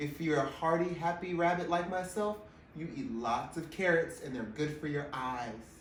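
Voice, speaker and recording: The tone is upbeat and playful, at a moderate pace. Background noise is noticeable. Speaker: drag queen storyteller. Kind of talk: children's story reading. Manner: upbeat, playful.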